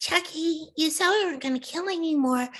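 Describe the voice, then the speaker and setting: A female-sounding put-on character voice pitched extremely high. It moves at a fairly quick pace. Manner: cute, mischievous.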